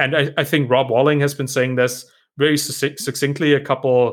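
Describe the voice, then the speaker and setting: The speaker has a German accent. The pace is fairly quick. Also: man. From Germany. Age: 30s. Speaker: startup founder, author and podcaster. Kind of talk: casual interview chat. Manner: hesitant, repeats words.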